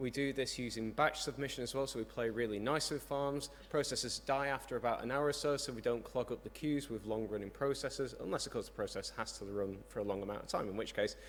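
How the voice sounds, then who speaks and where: This man has a British accent. He talks very fast, with hardly any pauses. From UK. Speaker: software developer, conference speaker. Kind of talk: conference talk. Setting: conference stage with audience.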